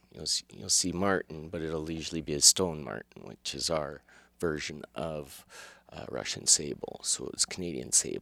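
At a moderate pace, a man with a very deep, low pitch and vocal fry speaks in a bright, sharp tone, with ordinary pitch variation and big swings in loudness. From Calgary, Alberta, Canada. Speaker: fur shop co-owner and hunter. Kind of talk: casual interview.

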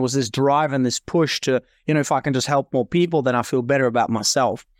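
Recorded very cleanly with a silent background and a dry, close sound with no echo, a man talks very fast at a fairly high pitch with fairly even intonation. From Norway. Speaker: podcast host.

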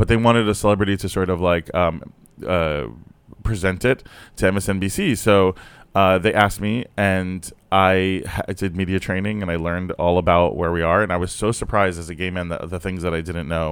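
A man with a very deep, low pitch and an American accent talks at a fairly quick pace in a very clean recording with a silent background. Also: fairly even intonation. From South Florida. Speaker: comedian. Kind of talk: casual chat.

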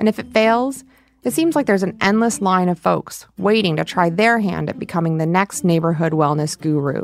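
A woman with an American accent speaks at a moderate pace and a fairly low pitch. Her intonation is lively, and it is an unremarkable speaking voice. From Michigan. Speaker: podcast host, reporter. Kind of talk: documentary narration mixed with casual conversation.

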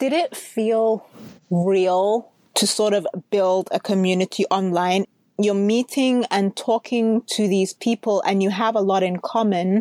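A plain, everyday voice at a fairly slow pace, with fairly even intonation, very even loudness, and a dry, close sound with no echo. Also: woman, medium pitch for a woman. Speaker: podcast host. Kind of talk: casual interview chat.

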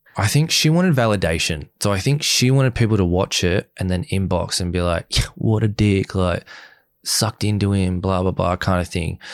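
A man with an Australian accent speaks at a moderate pace, with a fairly low pitch and ordinary pitch variation. The recording is very clean, with a silent background and a dry, close sound with no echo. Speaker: reality TV contestant. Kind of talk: casual interview chat. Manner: soft-spoken.

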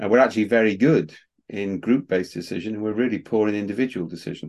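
An ordinary speaking voice belongs to a man with a fairly low pitch and ordinary pitch variation. The background is quiet. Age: 60s. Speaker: management scientist and author. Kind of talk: interview.

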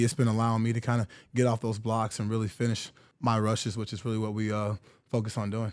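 A man with an American accent, medium pitch and flat, monotone intonation, talking at a very fast pace in a very clean recording with a silent background. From Texas, Houston. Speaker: football player. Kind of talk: interview.

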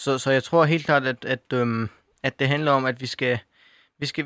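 The recording is very clean, with a silent background and a dry, close sound with no echo. A man talks at medium pitch in a bright, sharp tone with fairly even intonation. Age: young. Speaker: youth panel member, student. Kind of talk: radio panel discussion. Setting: studio. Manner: halting, many fillers and repetitions.

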